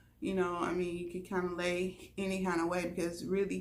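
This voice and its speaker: Audible room echo carries a woman's fairly low-pitched voice at a moderate pace. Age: middle-aged. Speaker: vlogger. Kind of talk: casual vlog talk.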